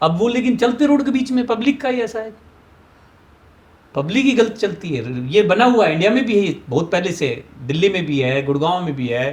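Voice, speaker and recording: Pitched high, a man speaks at a moderate pace with very wide pitch swings. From Rewari, Haryana, India. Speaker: traffic police officer. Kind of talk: interview answer.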